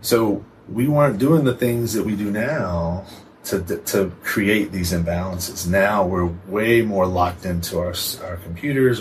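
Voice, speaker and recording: A man's fairly low, fairly slow voice with ordinary pitch variation, over noticeable background noise. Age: 40s. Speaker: physical therapist. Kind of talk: casual chat.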